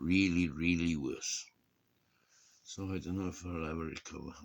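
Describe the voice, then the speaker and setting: A man with a Welsh accent speaks in a very deep, low pitch. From Wales. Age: 60s. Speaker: vlogger. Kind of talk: casual chat. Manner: halting.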